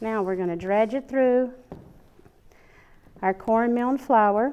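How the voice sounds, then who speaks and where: At a fairly slow pace, a woman with an American accent speaks at a fairly high pitch, her pitch varying in an ordinary way. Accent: Southern, thicker than usual. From US South, Alabama. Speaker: cooking show host. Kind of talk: cooking tutorial. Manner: casual, chatty.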